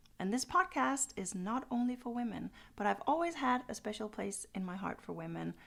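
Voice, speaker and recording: Talking at a fairly quick pace in a Danish accent, the speaker swings very widely in pitch. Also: woman, fairly high pitch for a woman, very clean recording, silent background. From Denmark. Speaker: podcaster. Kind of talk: channel introduction monologue.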